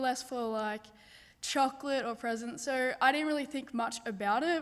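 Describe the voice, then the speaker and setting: A woman with an Australian accent speaks at a high pitch and a moderate pace, her intonation fairly even. The recording is very clean, with a silent background. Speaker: university student. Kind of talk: testimony. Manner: casual, hesitant.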